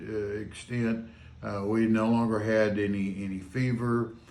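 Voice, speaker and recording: A man at a medium pitch, monotone and flat, at a fairly slow pace amid audible room echo. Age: 70s. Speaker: patient recovered from covid. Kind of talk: interview testimony. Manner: halting, many fillers.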